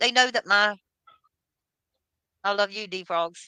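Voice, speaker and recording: A woman at medium pitch with a bright, sharp tone and a very slow pace, in a dry, close sound with no echo. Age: 60s. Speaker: livestreamer. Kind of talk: casual chat.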